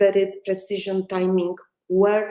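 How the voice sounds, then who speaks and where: Speaking in a Polish accent, a woman delivers her words with a dark, mellow tone and monotone, flat intonation. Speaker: film director. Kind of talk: interview. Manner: halting.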